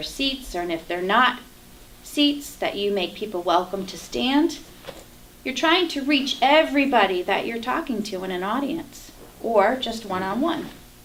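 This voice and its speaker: Noticeable background noise and audible room echo surround a woman speaking at a moderate pace with very wide pitch swings. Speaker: Toastmasters speaker. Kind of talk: prepared speech. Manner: animated.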